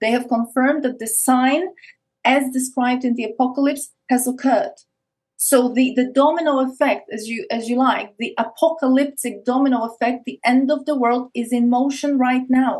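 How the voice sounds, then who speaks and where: A high-pitched woman with an Eastern European accent, at a moderate pace and with fairly even intonation. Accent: Eastern European, noticeable. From Poland. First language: Polish. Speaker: spiritual teacher on esoteric topics. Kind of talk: podcast interview, explanatory monologue.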